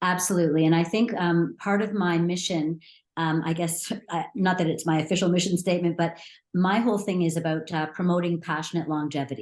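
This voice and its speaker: A woman with a Canadian accent and an unremarkable speaking voice, fairly low in pitch, at a fairly quick pace, with fairly even intonation and very even loudness. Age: 60s. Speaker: small business owner, baker. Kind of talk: interview.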